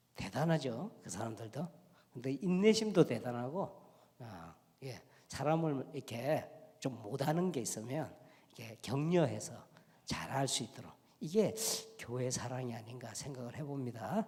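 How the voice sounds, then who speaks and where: A man with a strong Gyeongsang accent speaks at a medium pitch in a dark, mellow, somewhat breathy tone, with very wide pitch swings and big swings in loudness. His pace is fairly slow, with long, frequent pauses. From Korea, Gyeongsang province. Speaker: pastor and lecturer. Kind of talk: special lecture in church. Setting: church.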